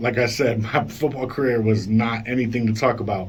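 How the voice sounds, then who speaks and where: A man speaks in an animated tone. Audible room echo and noticeable background noise surround his voice. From Colorado. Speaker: radio show host. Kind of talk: casual interview. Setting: radio studio.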